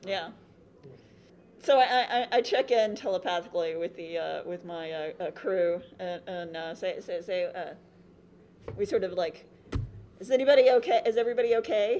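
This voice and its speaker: With a dark, mellow tone, a woman of medium pitch speaks at a moderate pace, her intonation lively and her loudness swinging widely. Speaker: tabletop roleplaying game player, podcast cast member. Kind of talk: live panel recording of a roleplaying game, casual and playful. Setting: stage with audience at a convention.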